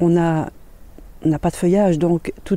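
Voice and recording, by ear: The tone is dark and mellow, the pitch barely moves, and the pace is moderate. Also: woman.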